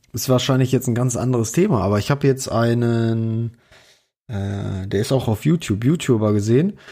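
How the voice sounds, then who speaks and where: A man's medium-pitched voice with a dark, mellow tone, in a very clean recording with a silent background. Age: 30s. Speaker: podcast co-host, hobbyist. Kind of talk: casual chat. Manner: hesitant with many fillers.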